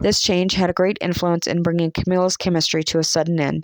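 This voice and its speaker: Speaking very fast with an American accent, a woman uses a fairly low pitch and fairly even intonation in a very clean recording with a silent background. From Southern United States. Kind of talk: audiobook reading.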